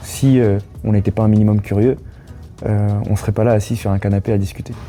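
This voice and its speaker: Over background music, a man talks at a fairly quick pace in a fairly low pitch, his loudness very even and his intonation monotone and flat. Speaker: student entrepreneur. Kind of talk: casual interview. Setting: seated on a couch, filmed. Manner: calm, measured; halting, many fillers.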